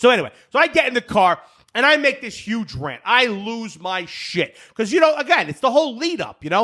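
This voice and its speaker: Speaking in a New Jersey accent, a man with an extremely high pitch uses a raised, projected voice and a bright, sharp tone, moving at a fairly quick pace with hardly any pauses, very wide pitch swings and an animated tone. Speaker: golf podcast host. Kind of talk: casual chat. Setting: studio. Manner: loud.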